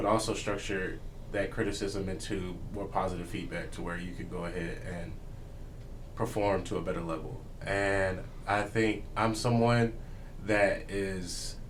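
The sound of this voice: Low-pitched male voice at a fairly slow pace, with little pitch movement and audible room echo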